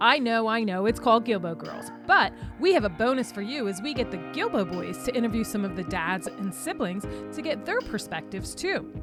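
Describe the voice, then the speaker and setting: Music can be heard behind the speaker. She is a woman talking fairly quickly. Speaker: podcast host. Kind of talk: podcast intro.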